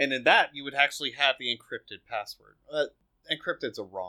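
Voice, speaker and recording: A man with a fairly high pitch and ordinary pitch variation talks at a fairly quick pace. His tone is playful, bright and sharp, with a dry, close sound and no echo. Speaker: podcast host. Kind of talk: casual banter with technical discussion. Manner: joking, playful.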